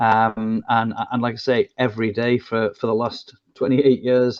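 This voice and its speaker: Monotone and flat, a man speaks at medium pitch. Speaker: business consultant. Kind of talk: interview. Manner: halting.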